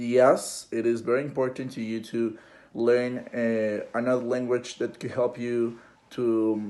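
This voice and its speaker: A man with a Spanish accent speaks at a fairly slow pace in a dark, mellow tone, his intonation monotone and flat. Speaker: interviewee, university student. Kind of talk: interview. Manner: halting, many fillers and repetitions.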